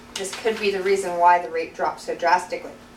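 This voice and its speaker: Noticeable background noise sits behind a woman whose pitch is medium. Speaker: birth doula; college student. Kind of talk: class informative speech. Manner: hesitant, stammering.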